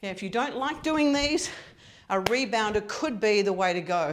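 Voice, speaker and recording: Lively intonation from a woman, with audible room echo. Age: 60s. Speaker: fitness coach. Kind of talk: tutorial.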